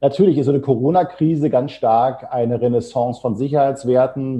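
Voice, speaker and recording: Talking fairly quickly with fairly even intonation, a man has a plain, everyday voice. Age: 50s. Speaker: HR consultancy founder. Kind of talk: podcast interview.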